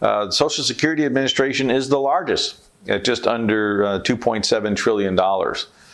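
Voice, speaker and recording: A man with an American accent, medium-pitched, at a fairly quick pace, with an unremarkable speaking voice. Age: 60s. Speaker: economist. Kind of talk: scripted monologue on economics. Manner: measured, explanatory.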